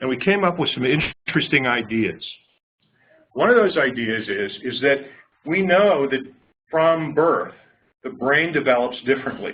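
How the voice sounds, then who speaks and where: At a moderate pace, a man talks at a fairly high pitch with lively intonation and long, frequent pauses. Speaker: clinician researcher. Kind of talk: lecture. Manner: loud. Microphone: far from the mic.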